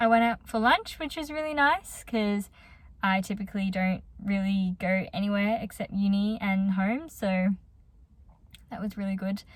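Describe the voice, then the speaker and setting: Somewhat breathy, a woman speaks in an Australian accent at medium pitch with ordinary pitch variation. Her moderate pace is captured on a very clean recording with a silent background. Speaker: psychology student vlogger. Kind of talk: casual vlog talk. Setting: in a car.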